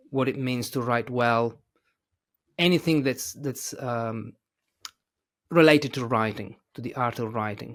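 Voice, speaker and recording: Speaking with an Italian accent, a man uses a medium pitch at a fairly slow pace. He leaves long, frequent pauses. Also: ordinary pitch variation. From Italy. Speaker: English teacher and author. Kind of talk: casual interview chat. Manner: hesitant, many fillers.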